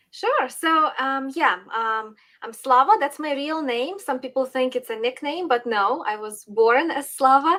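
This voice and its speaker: Speaking at a fairly slow pace with hardly any pauses, a woman uses a high pitch, a bright, sharp tone and lively intonation. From Western Ukraine. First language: Ukrainian. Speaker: political commentator. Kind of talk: interview.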